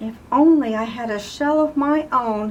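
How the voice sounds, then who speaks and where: A woman puts on a high-pitched character voice, moving at a moderate pace with ordinary pitch variation. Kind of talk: bedtime story. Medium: read story.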